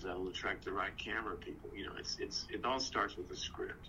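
A man with a West Texas accent at a moderate pace, with audible room echo. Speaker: actor. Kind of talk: casual chat.

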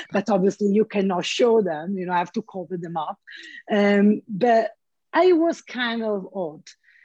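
A woman with an Italian accent speaks at a fairly slow pace. Her fairly high voice has lively intonation. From Italy. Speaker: flight attendant and artist. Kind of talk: casual interview chat. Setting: video call.

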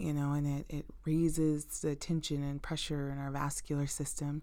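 Very deep and low in pitch, a woman with an American accent speaks at a moderate pace in a warm, dark, mellow tone. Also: very clean recording, silent background. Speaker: nurse practitioner podcast host. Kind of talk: educational health talk, podcast monologue. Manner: conversational, uses many filler words; warm, friendly, direct address to listeners.

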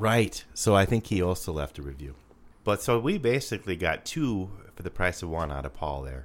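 This man's voice sits very deep and low, with vocal fry and very wide pitch swings at a moderate pace. The recording is very clean, the background silent. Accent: Upper Midwest. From South Dakota. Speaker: podcast co-host. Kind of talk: casual chat.

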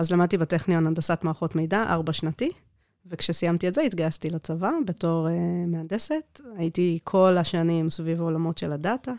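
A woman with an unremarkable speaking voice talks at a fairly quick pace, fairly low in pitch. Her intonation is fairly even, and the sound is dry and close with no echo. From South Africa. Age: 30s. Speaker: IT manager. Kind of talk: interview. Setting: studio.

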